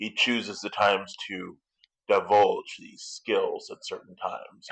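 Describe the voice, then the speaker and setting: A man puts on a character voice. His delivery is fairly slow. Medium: actual play. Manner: insinuating, measured.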